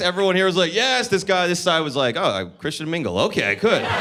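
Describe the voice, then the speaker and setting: Amid noticeable background noise and audible room echo, a man with a high pitch speaks in a raised, projected voice at a very fast pace. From New Jersey. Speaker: stand-up comedian. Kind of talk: stand-up. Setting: comedy club stage with audience. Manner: animated.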